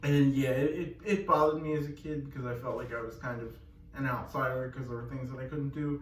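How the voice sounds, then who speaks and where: With a fairly high pitch, a man talks at a very fast pace. Audible room echo and noticeable background noise surround him. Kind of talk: casual Q&A chat. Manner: fast when excited, sometimes hard to understand.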